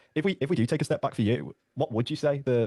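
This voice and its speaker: A man with a British accent speaks in a dark, mellow tone with ordinary pitch variation, and the sound is dry and close with no echo. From Britain. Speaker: sales closer. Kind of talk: sales call.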